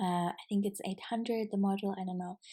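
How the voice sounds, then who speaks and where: A woman with a non-native accent speaks in a medium pitch and a dark, mellow tone, her intonation flat and monotone, on a very clean recording with a silent background. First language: not English. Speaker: podcaster and business coach. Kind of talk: casual solo podcast reflection. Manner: hesitant, filler-heavy.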